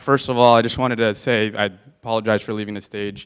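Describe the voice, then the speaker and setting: Speaking at a very fast pace, a man with an American accent has a medium pitch. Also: very clean recording, silent background. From California, San Fernando Valley. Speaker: political candidate. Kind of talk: campaign speech. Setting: stage with audience.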